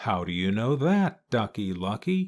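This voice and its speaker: A man does a put-on character voice at a medium pitch, moving at a moderate pace with very wide pitch swings. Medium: read story.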